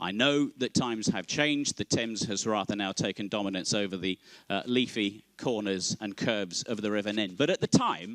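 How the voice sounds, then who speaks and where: A man with an English Midlands accent, fairly low in pitch with ordinary pitch variation, at a moderate pace with hardly any pauses, in a dry, close sound with no echo. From Northamptonshire, England. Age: 50s. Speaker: conference chair. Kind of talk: opening speech. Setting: stage with audience. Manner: formal.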